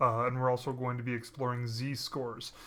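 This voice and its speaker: Audible room echo surrounds a man speaking at a very fast pace with a medium pitch and monotone, flat intonation. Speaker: statistics lecturer. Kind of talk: lecture. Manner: many fillers (um, uh).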